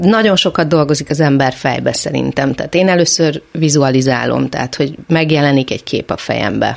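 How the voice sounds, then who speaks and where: A woman talks at a moderate pace with a very deep, low pitch. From Hungary, Szeged. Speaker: choreographer. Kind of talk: radio interview.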